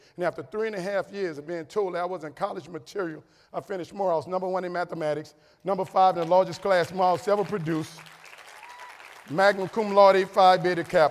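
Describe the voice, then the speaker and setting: A man with a high voice talks very fast in an animated tone. Crowd noise fills the background. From New Orleans, Louisiana. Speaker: motivational speaker. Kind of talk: keynote speech. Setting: stage with audience.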